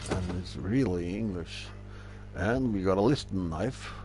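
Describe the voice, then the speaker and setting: A man with a Norwegian accent speaks at a fairly slow pace with very wide pitch swings, and room echo is audible. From Norway. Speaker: gaming streamer. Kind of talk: casual gameplay commentary.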